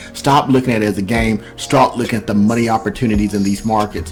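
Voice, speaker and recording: The speech moves at a very fast pace. Noticeable background noise sits behind it. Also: man. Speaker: crypto YouTuber. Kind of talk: video commentary on crypto. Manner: animated.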